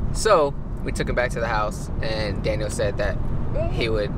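Against loud background noise, a man speaks at a moderate pace, the sound dry with no echo. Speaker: vlogger driving. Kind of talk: casual vlog chat. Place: car.

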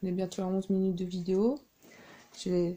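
Somewhat breathy and soft-spoken, the voice has a dark, mellow tone at a moderate pace over light background noise. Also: woman. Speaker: crafting YouTuber. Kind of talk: tutorial. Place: home room. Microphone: camera far.

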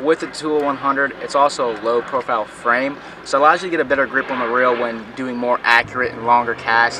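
Very fast speech with fairly even intonation, a dry sound with no echo and noticeable background noise. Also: man. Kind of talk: product review tutorial. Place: boat.

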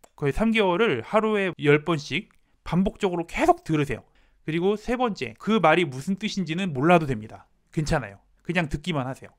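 The man's voice sits high, and his intonation is lively. He keeps a moderate pace. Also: quiet background. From South Korea. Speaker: Korean language teacher. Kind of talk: tutorial. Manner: formal. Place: home room. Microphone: handheld.

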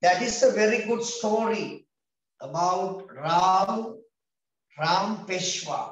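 A man with a Sri Lankan accent speaks at a very slow pace with long, frequent pauses. His pitch is high, with ordinary pitch variation, and the room echo is audible. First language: Sinhala. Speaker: English teacher for grade 6 pupils; teacher. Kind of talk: online class lesson. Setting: video call. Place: home room. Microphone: video call.

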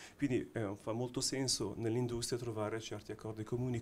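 A somewhat breathy man speaks in a monotone, flat intonation. Light background noise can be heard. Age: middle-aged. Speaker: watch brand technology executive; panelist. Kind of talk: panel discussion. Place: hall. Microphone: handheld.

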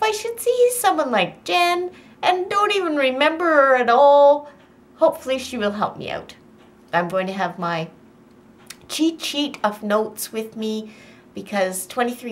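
Over light background noise, a woman with a high pitch speaks at a moderate pace, her pitch swinging very widely and her loudness shifting a lot. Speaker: vlogger. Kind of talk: casual vlog chat. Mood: excited but a little nervous. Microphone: phone near.

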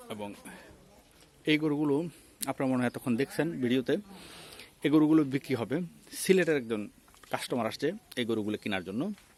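The speaker is a man with an unremarkable speaking voice and lively intonation. His pitch is medium. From Chittagong, Bangladesh. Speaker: livestock market vlogger. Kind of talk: on-location vlog commentary and interview.

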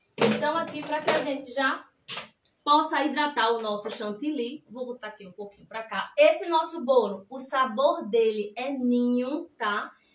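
Heard with audible room echo and light background noise, a woman speaks at a moderate pace, her high voice showing ordinary pitch variation. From Pernambuco, Brazil. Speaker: cake decorator. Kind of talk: live cake decorating class. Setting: livestream. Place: kitchen. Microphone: phone near.

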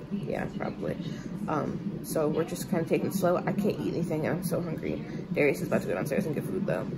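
Loud background noise surrounds a soft-spoken voice going at a very fast pace. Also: woman. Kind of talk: casual vlog chat. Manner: tired, hungry, worn-out murmur. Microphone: phone near.

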